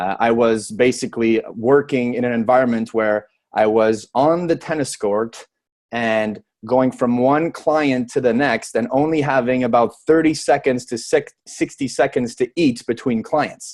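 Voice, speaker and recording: A man with a French Canadian accent speaks at a medium pitch. His pace is fairly slow, with ordinary pitch variation. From Quebec, Montreal. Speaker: network marketer and personal trainer. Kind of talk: sales pitch. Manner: hesitant, some stumbling.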